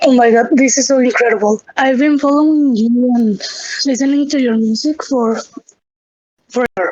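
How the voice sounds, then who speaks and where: A woman with a high pitch talks in fairly even intonation and very even loudness, leaving long, frequent pauses. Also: moderate pace. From Mexico, Guadalajara. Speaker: fan. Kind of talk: casual chat.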